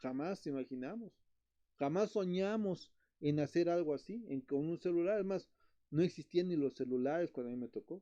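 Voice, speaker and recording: A man speaks at a moderate pace in a high pitch. His tone is dark and mellow, with ordinary pitch variation. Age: 60s. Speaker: betta fish breeder and channel host. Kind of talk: live stream chat. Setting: live stream. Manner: halting, repetitive.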